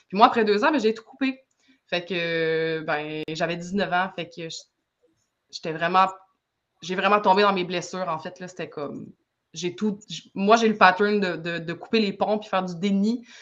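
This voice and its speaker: A woman speaks at a medium pitch with ordinary pitch variation and long, frequent pauses. Her loudness swings widely. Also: fairly slow pace. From Quebec, Saguenay. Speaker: energy healer and sound artist. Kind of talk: casual interview chat.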